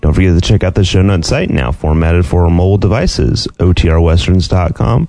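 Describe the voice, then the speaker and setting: Noticeable background noise surrounds a male speaker with a very deep, low pitch. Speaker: podcast host. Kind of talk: podcast intro and outro, sponsor read.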